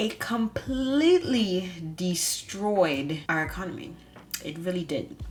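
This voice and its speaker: Against noticeable background noise, a woman speaks at a very slow pace with lively intonation. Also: medium pitch for a woman. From Bahamas. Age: 20s. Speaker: vlogger, architecture student. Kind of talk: personal vlog narration.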